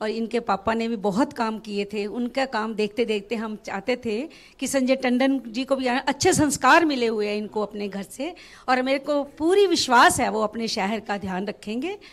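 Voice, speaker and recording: A woman has an unremarkable speaking voice with a fairly high pitch. The recording is very clean, with a silent background. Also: ordinary pitch variation, hardly any pauses. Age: 60s. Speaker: voter interviewed on street. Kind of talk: vox pop interview.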